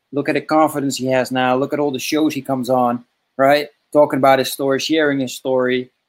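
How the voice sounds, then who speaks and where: A man talks at a very fast pace with a Dutch accent. His fairly high pitch stays in monotone, flat intonation. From Netherlands. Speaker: podcast host, father coach. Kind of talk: casual interview. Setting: video call.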